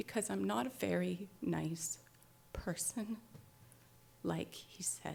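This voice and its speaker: A woman's very deep, low voice with vocal fry and very wide pitch swings, at a very slow pace with long, frequent pauses. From Canada. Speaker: writer. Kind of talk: live storytelling performance. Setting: live audience.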